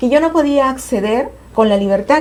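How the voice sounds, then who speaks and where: A woman at a fairly quick pace with lively intonation, against noticeable background noise. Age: 60s. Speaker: family court judge. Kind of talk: TV talk show interview.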